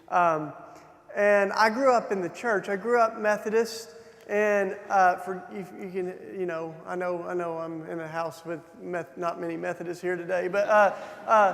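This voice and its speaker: A man with a Southern US accent speaks fairly slowly in a high voice with fairly even intonation. Background noise is noticeable. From Tennessee, US South. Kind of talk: keynote talk with personal testimony. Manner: hesitant, many fillers and restarts.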